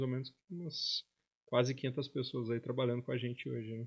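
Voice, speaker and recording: A man speaks in a plain, everyday voice at medium pitch with fairly even intonation. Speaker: investment office manager. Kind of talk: casual interview chat. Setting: studio.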